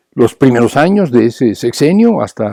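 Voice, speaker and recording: The sound is dry and close with no echo as a man with a dark, mellow tone speaks using lively intonation. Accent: Mexican. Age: 70s. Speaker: political activist. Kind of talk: political lecture. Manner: repetitive, halting.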